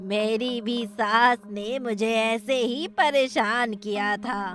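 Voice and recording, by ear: A female-sounding, cartoonish character voice with a fairly high pitch drawls at a very slow pace over clear background noise.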